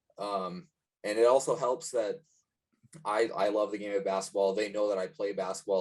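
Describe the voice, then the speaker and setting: A man speaks in a plain, everyday voice with a fairly low pitch. His pace is moderate and his intonation fairly even. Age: 20s. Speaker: strength and conditioning coach. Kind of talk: interview. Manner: casual, many fillers (um, like).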